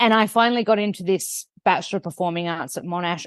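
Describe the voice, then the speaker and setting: A woman with a strong Australian accent, medium-pitched, at a fairly quick pace with ordinary pitch variation, in a dry, close sound with no echo against a quiet background. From Australia (Melbourne). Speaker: nutritionist, TV host and author. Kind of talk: podcast interview. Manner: fast.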